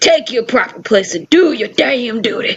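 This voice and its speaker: A put-on character voice with a fairly high pitch moves along at a moderate pace. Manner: commanding, dramatic.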